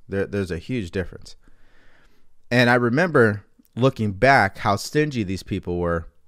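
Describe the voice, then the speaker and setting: In an American accent, a plain, everyday voice moves at a moderate pace with lively intonation. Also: man, very clean recording, silent background. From California. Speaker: mindset coach. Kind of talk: livestream talk.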